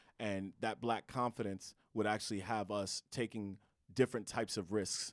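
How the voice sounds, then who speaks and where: A man with an American accent speaks at a moderate pace in a fairly low, monotone, flat voice. The recording is very clean, with a silent background. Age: 30s. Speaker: author and educator. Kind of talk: podcast conversation.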